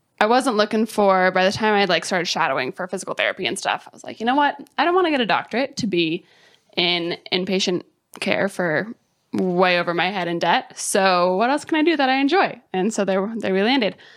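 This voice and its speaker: This woman has a normal speaking voice with an American accent and lively intonation, moving at a fairly quick pace. The recording is very clean, with a silent background. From Colorado (mountains west of Denver). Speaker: startup program manager. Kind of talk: casual interview.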